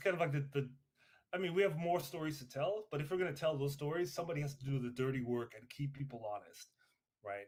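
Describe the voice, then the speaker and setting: Somewhat breathy and fairly high, a man's voice moves fairly quickly with ordinary pitch variation on a very clean recording with a silent background. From Trinidad. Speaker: podcast co-host. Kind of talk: casual chat. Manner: hesitant, many fillers.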